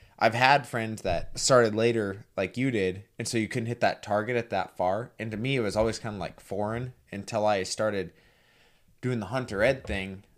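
A man's unremarkable speaking voice, fairly low in pitch, fairly quick and fairly even in intonation. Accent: American. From Montana. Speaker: podcast host. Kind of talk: casual chat. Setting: remote call.

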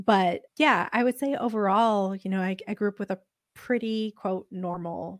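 A normal speaking voice from a woman, medium in pitch with ordinary pitch variation, at a fairly slow pace, in a very clean, dry, close recording with no echo and a silent background. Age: 30s. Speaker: podcast host, guest sharing DNA discovery story. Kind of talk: casual interview chat.

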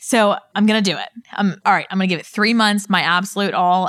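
In an American accent, a woman talks at a fairly quick pace. It is a normal speaking voice with fairly even intonation. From Pittsburgh, Pennsylvania. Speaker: insurance agency owner. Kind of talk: interview.

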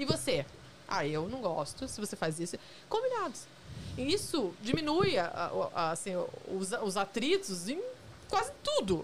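This woman's pitch moves through very wide swings, and noticeable background noise can be heard. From Curitiba, southern Brazil. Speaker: journalist. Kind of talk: casual chat. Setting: studio.

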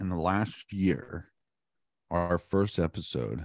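A very deep, low-pitched male voice with vocal fry and an American accent. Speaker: podcast host. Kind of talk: casual chat. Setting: video call.

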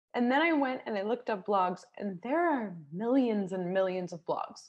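A woman with an American accent, fairly high in pitch with very wide pitch swings. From United States. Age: 30s. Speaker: television commercial producer and author. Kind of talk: casual chat.

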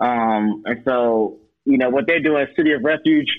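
With an American accent, a man talks in a fairly even intonation. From Atlanta, US South. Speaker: minister. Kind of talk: casual chat.

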